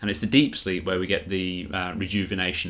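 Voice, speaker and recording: The man speaks with a very deep, low pitch. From England. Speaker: swim coach and business founder. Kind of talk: casual interview conversation.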